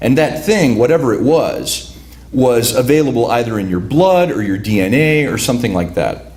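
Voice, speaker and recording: Over noticeable background noise and audible room echo, a man with a medium pitch talks at a moderate pace with lively intonation. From Cicero, Illinois (Chicago area), Lithuanian immigrant community. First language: Lithuanian. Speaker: writer. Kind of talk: talk introducing a reading. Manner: halting, many repeated words.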